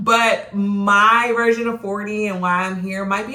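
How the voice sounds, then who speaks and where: A woman with a medium pitch talks at a moderate pace. Room echo is audible, along with noticeable background noise. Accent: American. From Virginia (Norfolk/Virginia Beach). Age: 40s. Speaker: vlogger. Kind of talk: personal vlog monologue. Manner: casual, with frequent fillers.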